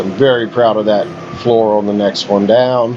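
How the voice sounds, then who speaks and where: With a West Virginia accent, a man of medium pitch speaks slowly enough to be called fairly slow, in fairly even intonation, over noticeable background noise. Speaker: gaming YouTuber. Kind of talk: gameplay commentary. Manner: casual, conversational.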